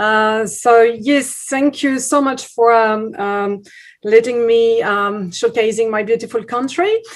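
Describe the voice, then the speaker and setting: Fairly high in pitch, this woman speaks. She goes at a very slow pace. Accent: French. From France, Bordeaux. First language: French. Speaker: tourism promoter. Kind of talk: webinar presentation. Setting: video call webinar. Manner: halting, many fillers.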